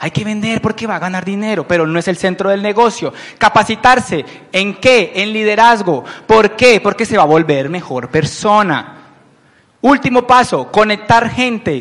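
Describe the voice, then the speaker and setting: A high-pitched man's voice with lively intonation and an animated tone. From Colombia, Palmira (Valle del Cauca). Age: 30s. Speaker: business owner presenting to recruits. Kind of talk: motivational business presentation. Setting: event with live audience.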